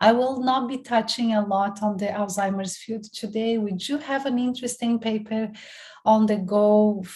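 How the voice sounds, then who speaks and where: A woman speaks at a medium pitch in a dark, mellow, somewhat breathy voice. Her intonation is fairly even, and audible room echo surrounds it. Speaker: professor. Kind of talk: lecture.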